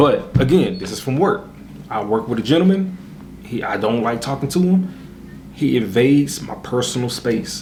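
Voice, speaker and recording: Soft-spoken, a man talks at a moderate pace in a medium-pitched voice with lively intonation. Room echo is audible. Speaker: YouTuber. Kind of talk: casual vlog monologue.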